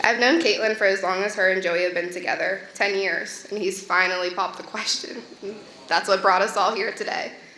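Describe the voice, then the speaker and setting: Noticeable background noise and audible room echo surround a woman speaking at a fairly quick pace. Her pitch is medium and her intonation fairly even. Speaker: maid of honor giving wedding toast. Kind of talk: wedding toast. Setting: wedding reception. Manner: loud.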